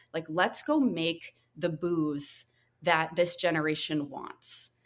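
At a fairly slow pace, the speaker uses a normal speaking voice. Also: woman. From rural North Carolina, US South. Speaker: drinks brand founder. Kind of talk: interview. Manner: casual, uses many fillers.

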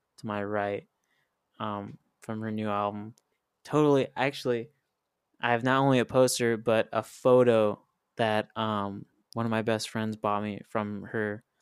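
A man's fairly low, flat monotone in an American accent, at a fairly slow pace, with a dry, close sound and no echo. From US Midwest (northwest Indiana, near Chicago). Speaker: musician. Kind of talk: casual interview chat. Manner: halting, many fillers and repeats.

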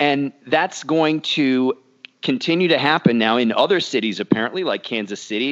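A man talks in an ordinary speaking voice at a moderate pace. His lively intonation comes through a dry, close sound with no echo. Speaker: podcast co-host. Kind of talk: casual chat.

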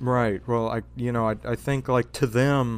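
A man speaks with a Louisiana accent. His pitch is medium and his intonation fairly even. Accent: Louisiana Southern US. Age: 20s. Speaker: podcaster. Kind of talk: casual chat.

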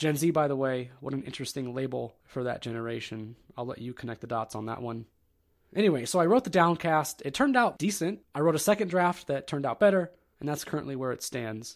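A man's fairly high voice with lively intonation at a very fast pace, on a very clean recording with a silent background. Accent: American. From Ohio. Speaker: podcast host. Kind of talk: solo monologue podcast. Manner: casual.

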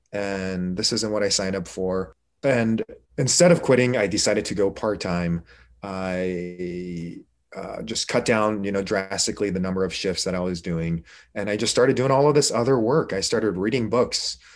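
In a plain, everyday voice, a man speaks at a moderate pace and fairly low pitch with ordinary pitch variation against a quiet background. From Korea, raised in the United States. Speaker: emergency physician. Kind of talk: interview.

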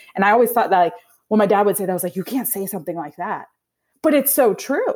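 Recorded very cleanly against a silent background, a woman with a Midwestern American accent speaks in a fairly high pitch with lively intonation. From US Midwest, Indiana. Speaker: nonprofit founder and CEO. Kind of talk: interview conversation.

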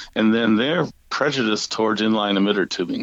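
Fairly low-pitched man with an American accent, heard over noticeable background noise. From US Midwest (St. Louis, Missouri). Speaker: garden book author, drip irrigation expert. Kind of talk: interview.

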